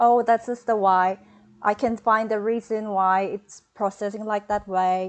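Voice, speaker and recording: In a quiet background, a woman with a Korean accent talks at a fairly slow pace. Her pitch is fairly high and her intonation is monotone and flat. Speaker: hospitality graduate, hotel front desk agent. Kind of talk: webinar interview. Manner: halting.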